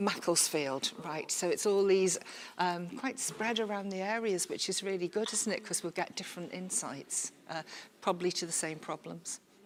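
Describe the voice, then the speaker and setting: In a Liverpool accent, a woman speaks at a moderate pace. Her pitch is medium, with ordinary pitch variation. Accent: Scouse. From Liverpool, England. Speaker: workshop facilitator. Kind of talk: workshop facilitation. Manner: informal, chatty.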